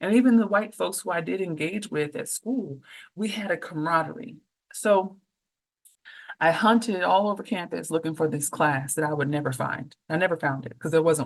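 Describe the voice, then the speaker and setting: The speaker has an Oakland accent. Their intonation is lively. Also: woman, fairly low pitch for a woman, moderate pace. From Oakland, California. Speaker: professor and author. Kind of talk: podcast interview. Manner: animated.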